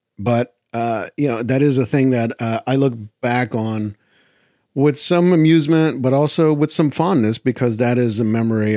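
A man speaks at a moderate pace with lively intonation, in a dry, close sound with no echo on a very clean recording with a silent background. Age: 40s. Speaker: film podcast host. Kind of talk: casual monologue. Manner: hesitant, many fillers.

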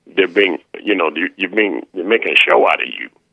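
A man talks at a moderate pace. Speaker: caller. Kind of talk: casual chat. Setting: phone call.

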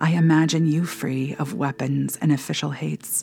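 A woman's very deep, low pitch comes through in a dark, mellow, solemn tone. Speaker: spiritual director and prayer podcast host. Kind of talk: fervent intercessory prayer read aloud, pleading petitions to God. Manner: urgent, impassioned pleading with rising intensity; earnest, solemn, measured.

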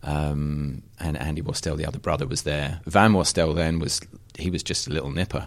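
A man talks at a moderate pace with vocal fry. His pitch is very deep and low, and his intonation fairly even. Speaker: creative director at outdoor clothing company. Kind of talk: casual chat.

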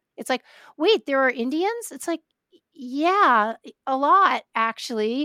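A woman with an American accent projects a raised, high voice with a bright, sharp tone and very wide pitch swings at a fairly slow pace, recorded very cleanly against a silent background with a dry, close sound and no echo. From New York, Brooklyn. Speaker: podcast host. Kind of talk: casual interview.

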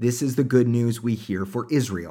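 With an American accent, a man speaks fairly slowly at a medium pitch in a very clean recording with a silent background. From Oklahoma, US. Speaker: pastor and podcast host. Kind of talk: sermon-style scripture commentary.

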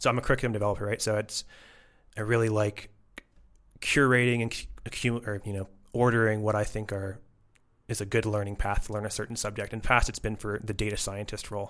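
Over a very clean recording with a silent background, a man with a Canadian accent talks very fast in a fairly low, monotone, flat voice, with long, frequent pauses. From Canada, Toronto. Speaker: data science educator. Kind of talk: casual interview. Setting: in person.

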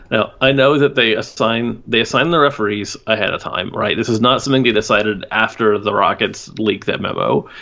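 In a normal speaking voice, a man with an American accent talks at a fairly quick pace with hardly any pauses, at a medium pitch with ordinary pitch variation. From Houston, Texas. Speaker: basketball podcast guest. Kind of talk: casual chat.

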